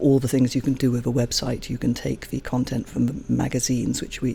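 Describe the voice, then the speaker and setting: There is noticeable background noise. A woman talks over it at a moderate pace. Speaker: online magazine publisher. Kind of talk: interview.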